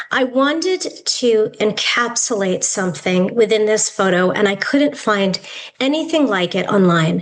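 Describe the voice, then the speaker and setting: An ordinary speaking voice from a woman with an American accent, fairly high-pitched, with lively intonation and a moderate pace. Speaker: yoga therapist and educator. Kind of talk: lecture.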